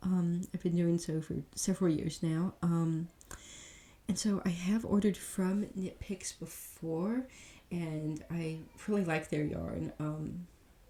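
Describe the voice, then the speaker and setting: Soft-spoken, the voice moves at a very slow pace. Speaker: ASMR creator; parent. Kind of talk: ASMR catalog reading.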